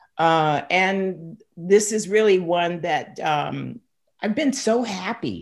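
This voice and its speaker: Her voice sits at a medium pitch with ordinary pitch variation. The woman speaks at a very slow pace. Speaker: podcast host. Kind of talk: interview conversation.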